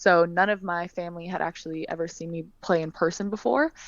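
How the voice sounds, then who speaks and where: A woman speaks with a Californian accent at a medium pitch. Her pace is fairly quick, with ordinary pitch variation. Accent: Californian American. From California, US. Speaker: professional basketball player. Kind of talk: interview.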